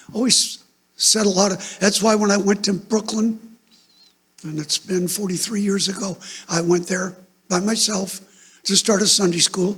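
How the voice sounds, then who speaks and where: A man's high-pitched, flat monotone at a moderate pace, broken by long, frequent pauses. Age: 70s. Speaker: pastor. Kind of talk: sermon. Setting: church. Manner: loud.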